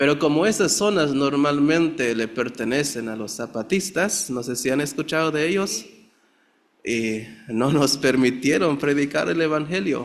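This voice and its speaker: A man with a Chiapas accent talks at a fairly slow pace and a fairly high pitch. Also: ordinary pitch variation. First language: Tzeltal (speaking Spanish). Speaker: pastor. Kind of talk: testimony. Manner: halting.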